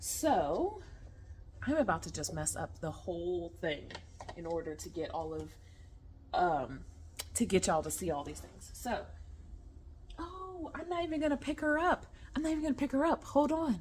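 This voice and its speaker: A loud woman's voice, fairly high in pitch with very wide pitch swings, at a moderate pace broken by long, frequent pauses. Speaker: vlogger. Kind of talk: casual chat. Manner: rambling, casual.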